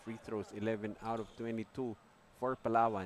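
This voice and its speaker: A soft-spoken man with a fairly low pitch, at a fairly quick pace. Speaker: basketball color commentator and coach. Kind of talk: live sports commentary. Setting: live broadcast at a basketball venue.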